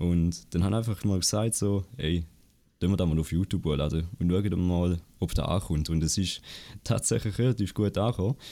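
Delivered at a moderate pace, the voice has a dark, mellow tone, very even loudness and ordinary pitch variation. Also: man, very deep, low pitch for a man. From Switzerland, Appenzell. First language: Swiss German (speaking German). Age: under 20. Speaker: Twitch streamer and student. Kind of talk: casual interview. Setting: online call.

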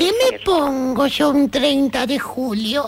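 A woman talks at a high pitch with ordinary pitch variation. There is noticeable background noise. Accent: Argentine. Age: 70s. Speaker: retired woman chatting with a friend. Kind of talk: casual phone chat.

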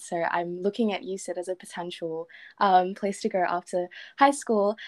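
Pitch rises and falls in an ordinary way, with an Australian accent. All is quiet in the background. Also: woman. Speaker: podcast host. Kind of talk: casual interview.

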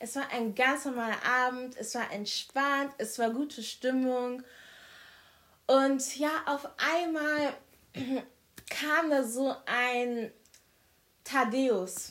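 A woman's high voice at a very slow pace, with long, frequent pauses and fairly even intonation. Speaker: podcast guest. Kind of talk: casual chat. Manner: loud; formal.

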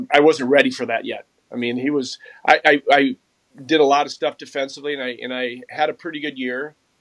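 Dry and close with no echo, the voice has an Upper Midwest accent, a fairly quick pace, monotone, flat intonation and big swings in loudness. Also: man, fairly high pitch for a man. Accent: Upper Midwest American. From Minnesota, Mounds View. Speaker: former pro hockey player and shooting coach. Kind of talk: casual interview.

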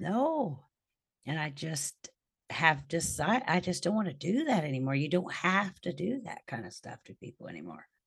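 Somewhat breathy, a woman with a fairly low pitch moves through very wide pitch swings. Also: moderate pace, big swings in loudness. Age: 50s. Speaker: podcast guest sharing life story. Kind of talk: casual chat. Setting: remote recording.

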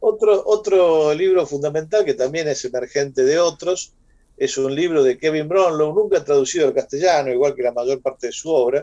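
A man with a dark, mellow tone, fairly high in pitch, at a moderate pace with ordinary pitch variation. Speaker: radio host. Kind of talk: casual chat.

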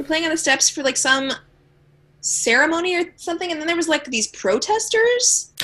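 A woman with an American accent speaks at a moderate pace in a raised, projected voice, extremely high in pitch and making very wide pitch swings. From Los Angeles (Venice), California. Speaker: singer-songwriter and high school teacher. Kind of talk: casual interview chat.

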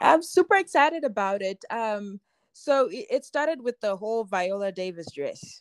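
At a moderate pace, the speaker's pitch swings very widely, recorded with a dry, close sound with no echo. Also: woman, fairly high pitch for a woman. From Zimbabwe. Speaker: fashion designer. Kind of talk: casual interview chat. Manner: frequent laughter.

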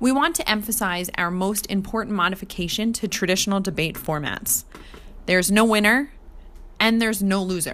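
A woman's plain, everyday voice in an American accent, at a medium pitch with ordinary pitch variation and a fairly quick pace. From New Jersey (Jersey Shore). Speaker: podcast host, clinical supervisor. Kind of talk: debate moderation. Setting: remote recording.

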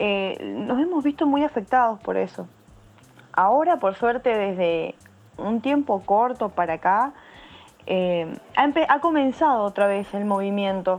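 With lively intonation, a woman of medium pitch talks at a fairly slow pace, leaving long, frequent pauses. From Argentina, San Juan (Cuyo). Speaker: bass player. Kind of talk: interview. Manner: halting.

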